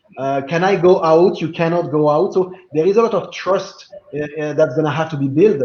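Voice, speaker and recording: Noticeable background noise sits behind a man speaking with a French accent. His voice is high and his pace moderate. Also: ordinary pitch variation. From France. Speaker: blockchain business guest. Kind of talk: video call panel discussion.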